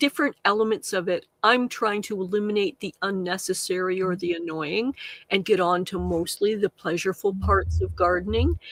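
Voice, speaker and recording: A woman talks at a moderate pace and a medium pitch, her intonation fairly even. The sound is dry and close, with no echo. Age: 60s. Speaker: live gardening show host, chat facilitator. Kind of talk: live-stream chat interview. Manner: halting, with many fillers.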